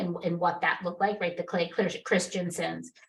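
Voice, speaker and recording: A somewhat breathy woman with an American accent and a fairly low pitch. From Massachusetts, New England. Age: 50s. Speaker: marketing executive. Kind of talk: interview conversation.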